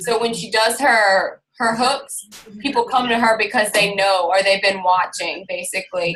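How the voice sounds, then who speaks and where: Her pitch is fairly high with ordinary pitch variation, and this woman has an unremarkable speaking voice. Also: moderate pace. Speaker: fitness coach. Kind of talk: team call presentation.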